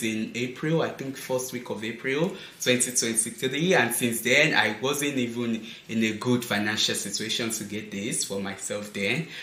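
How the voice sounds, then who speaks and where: Speech comes at a moderate pace with ordinary pitch variation. Audible room echo and noticeable background noise fill the recording. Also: man. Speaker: fashion and lifestyle vlogger. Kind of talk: casual unboxing vlog. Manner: animated.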